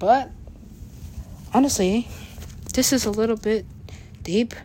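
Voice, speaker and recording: Fairly high-pitched and animated, a woman talks at a fairly slow pace. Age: 30s. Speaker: podcaster and rapper. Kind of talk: casual monologue. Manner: animated, frequent laughter.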